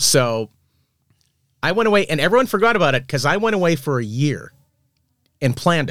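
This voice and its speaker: A man with an American accent speaks at a fairly quick pace, leaving long, frequent pauses. His fairly high pitch moves in very wide swings. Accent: Boston accent trained out, barely detectable. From Boston, Massachusetts. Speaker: film story artist. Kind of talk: casual chat.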